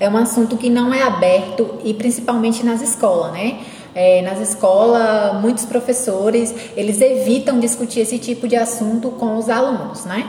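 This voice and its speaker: A woman's fairly high-pitched voice at a moderate pace, fairly even in intonation, amid noticeable background noise. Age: 20s. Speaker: interviewee. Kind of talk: interview.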